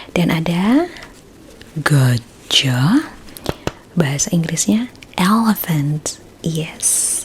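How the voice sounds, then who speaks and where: Soft-spoken and gentle, a woman talks in a relaxed tone at a fairly low pitch. Noticeable background noise is present. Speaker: ASMR roleplay creator. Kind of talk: ASMR roleplay, focus test clinic. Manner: soft-spoken, gentle, relaxed.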